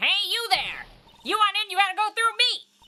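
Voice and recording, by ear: A put-on character voice at a fairly quick pace. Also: female-sounding voice, extremely high pitch for a woman.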